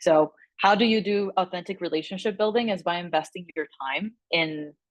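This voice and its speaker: With a Spanish accent, a woman speaks at medium pitch with ordinary pitch variation, her voice dry and close with no echo against a quiet background. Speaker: communications director at an advocacy group, interviewee. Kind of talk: interview answer to a class group. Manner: conversational with many fillers.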